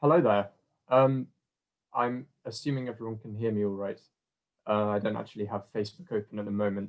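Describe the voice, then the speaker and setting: With a southern English accent, a man talks at a fairly quick pace with long, frequent pauses. His pitch is fairly low with ordinary variation. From southern England. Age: 20s. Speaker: student. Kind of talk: testimony. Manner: halting.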